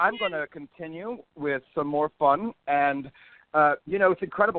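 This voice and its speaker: A man speaks at a moderate pace in a fairly high voice. His intonation is lively. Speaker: show host. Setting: radio or podcast show. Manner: enthusiastic, energetic.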